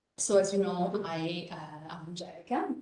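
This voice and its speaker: A woman with an Italian accent speaks very slowly at a medium pitch. Room echo can be heard around her voice. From northern Italy, Reggio Emilia. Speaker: professor. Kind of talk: lecture.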